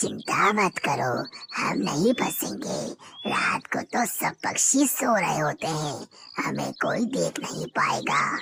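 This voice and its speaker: Raspy and at a middle pitch, this cartoonish character voice goes at a very slow pace. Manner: sly, scheming, punctuated by hisses.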